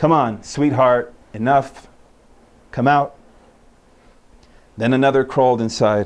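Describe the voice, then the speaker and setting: Using fairly even intonation, a man at medium pitch speaks at a very slow pace with long, frequent pauses. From Utah. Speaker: poet. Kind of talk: poetry reading.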